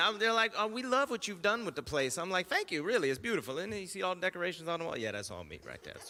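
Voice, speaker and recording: Over noticeable background noise, a man speaks in a raised, projected voice with very wide pitch swings. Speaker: comedian. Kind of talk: stand-up. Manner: fast.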